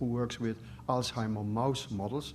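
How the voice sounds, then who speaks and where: With vocal fry and a medium pitch, a man speaks at a very fast pace in a room with audible echo. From Netherlands. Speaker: professor. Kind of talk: lecture. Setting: stage with audience. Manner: halting.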